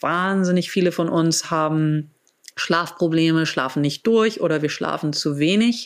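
Fairly low in pitch, a woman talks in an ordinary speaking voice with ordinary pitch variation. Her pace is fairly slow. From grew up abroad in several countries, German diplomat family. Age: 40s. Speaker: biohacker and wellness entrepreneur. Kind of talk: interview. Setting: video call.

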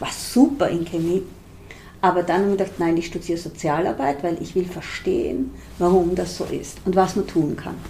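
A woman speaks with an Austrian accent in a fairly low pitch. Her tone is dark and mellow, with ordinary pitch variation. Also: moderate pace. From Austria, rural Styria. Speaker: social entrepreneur. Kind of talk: interview.

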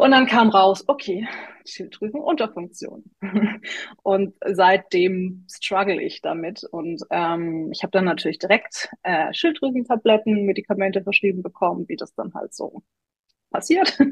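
Her intonation is lively and her voice somewhat breathy as this woman speaks at a fairly slow pace. The sound is dry and close with no echo. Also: medium pitch for a woman, big swings in loudness. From Tübingen, southwest Germany. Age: 30s. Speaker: coaching client. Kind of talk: interview testimony.

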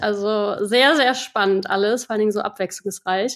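The woman keeps a moderate pace. There is only a little movement in her intonation. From western Germany, Rhineland (Erkelenz). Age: 30s. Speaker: podcast listener, marketing worker in food industry. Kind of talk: casual interview. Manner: halting, many fillers.

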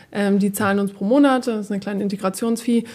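Fairly quick, fairly even speech from a woman. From northern Germany, Oldenburg. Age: young. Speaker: tech startup executive. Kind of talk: casual interview. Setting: studio.

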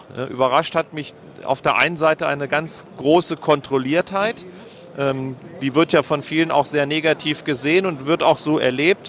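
Recorded dry and close with no echo over noticeable background noise, a man speaks with fairly high pitch and fairly even intonation. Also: moderate pace. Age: 50s. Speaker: former mayor. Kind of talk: interview. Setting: trade fair stand.

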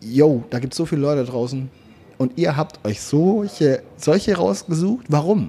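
On a very clean recording with a silent background, a man with a dark, mellow tone speaks at a fairly slow pace with lively intonation. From Swabia, southwestern Germany. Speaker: content creator. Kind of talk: casual chat. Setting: restaurant.

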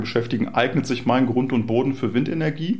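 Ordinary pitch variation in fairly quick talk, with room echo clearly audible. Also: man. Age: 40s. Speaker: startup founder and CEO. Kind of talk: interview. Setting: in person at a startup venue. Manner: frequent hesitation fillers.

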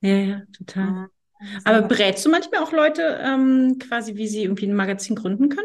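Using a normal speaking voice, a woman talks at a fairly quick pace with a fairly high pitch and lively intonation. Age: 40s. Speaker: agency head interviewing former employee. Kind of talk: casual interview.

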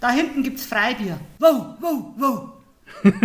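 Her lively intonation sits at a high pitch as this woman's voice carries audible room echo. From Upper Palatinate, Bavaria (Hohenfels). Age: 50s. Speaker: author and retired teacher. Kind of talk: casual interview.

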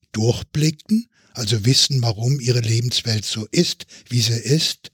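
The speaker is a man. His voice sounds dry and close, without any echo. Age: 70s. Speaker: physician and health policy expert. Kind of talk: podcast panel discussion. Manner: formal.

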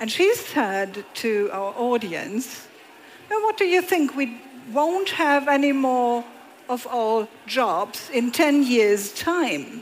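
A woman with a German accent speaks at a high pitch and a very slow pace. Her pitch swings very widely. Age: 60s. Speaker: moderator. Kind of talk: stage interview. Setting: stage with audience.

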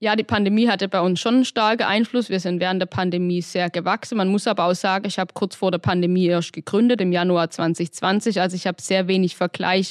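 Against a quiet background, a woman with a medium pitch speaks at a fairly quick pace and very even loudness in a dry, close sound with no echo, an unremarkable speaking voice. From Baden-Württemberg, Hohenlohe (Öhringen). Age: 20s. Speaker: entrepreneur and engineer. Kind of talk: interview. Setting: studio.

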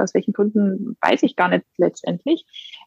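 The sound is close and dry, without echo. A woman talks at a moderate speed. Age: 30s. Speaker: mother and photographer. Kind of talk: personal testimony. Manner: hesitant with many fillers.

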